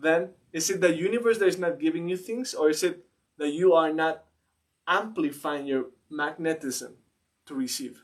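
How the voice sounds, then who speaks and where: Speaking at a moderate pace with a non-native accent, a man with a high pitch shows ordinary pitch variation and leaves long, frequent pauses. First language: not English. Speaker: mindset coach. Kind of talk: casual chat. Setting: live stream.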